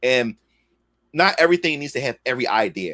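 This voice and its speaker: In a very clean recording with a silent background and a dry, close sound with no echo, a man talks very fast at a medium pitch, his tone bright and sharp and his intonation lively. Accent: Philadelphia. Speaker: comic creator and livestreamer. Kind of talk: casual livestream chat. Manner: loud; halting, repeats words.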